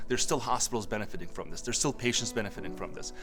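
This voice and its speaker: A man is speaking. Music plays in the background. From Turkey. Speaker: tech entrepreneur, company co-founder. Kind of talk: interview answer.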